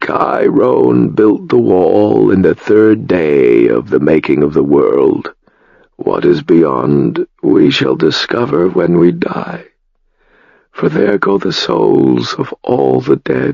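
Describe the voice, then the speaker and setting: A man puts on a character voice with a very deep, low pitch and a weary tone. He speaks very slowly at a very even loudness. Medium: read story. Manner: slow, weary.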